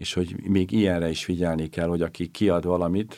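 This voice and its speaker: On a very clean recording with a silent background, a man speaks in a very deep, low voice with a dark, mellow tone and a monotone, flat intonation. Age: old. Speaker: retired bishop. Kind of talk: interview.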